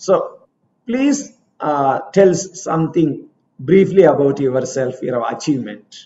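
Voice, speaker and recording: A man's very slow speech with lively intonation. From India. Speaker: coaching institute interviewer. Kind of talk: interview. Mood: warm, cheerful. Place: office. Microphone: video call.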